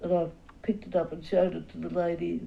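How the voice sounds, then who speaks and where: With an Australian accent, a woman speaks at medium pitch in a dark, mellow tone. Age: 80s+. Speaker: portrait painter. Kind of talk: interview answer.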